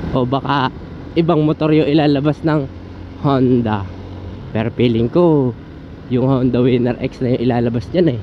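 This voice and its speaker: A man's voice over noticeable background noise. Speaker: motovlogger. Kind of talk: casual vlog talk while riding. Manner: animated.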